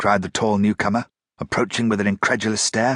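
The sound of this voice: Against a quiet background, the clip carries an unforced reading voice.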